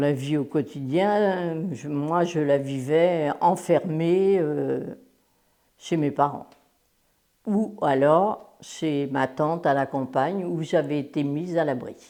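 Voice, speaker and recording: The woman's voice is dark and mellow, very deep and low-pitched, with ordinary pitch variation and a very slow pace. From France, Le Mans (Sarthe). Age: 80s+. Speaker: war witness. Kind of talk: testimony. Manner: hesitant, with many fillers.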